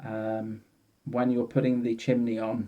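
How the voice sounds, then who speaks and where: A man speaks at a moderate pace with a British accent. His tone is dark and mellow, and his intonation is fairly even. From UK. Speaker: product reviewer. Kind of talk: product review. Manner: hesitant, with fillers. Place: home room. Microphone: phone near.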